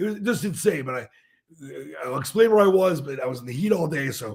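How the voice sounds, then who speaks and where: With a fairly quick pace and very wide pitch swings, a man talks in a somewhat breathy voice. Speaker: sports show host and play-by-play announcer. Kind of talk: casual sports talk show. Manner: animated.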